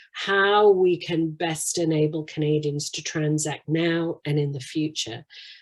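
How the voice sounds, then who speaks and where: The recording is very clean with a silent background. A woman speaks with a very deep, low pitch. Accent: British. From UK. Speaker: financial services executive. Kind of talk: interview.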